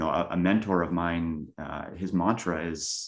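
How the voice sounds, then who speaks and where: A man with a Canadian accent speaks in a very deep, low pitch. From Canada, Winnipeg. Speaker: real estate investor. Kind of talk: interview. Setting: call.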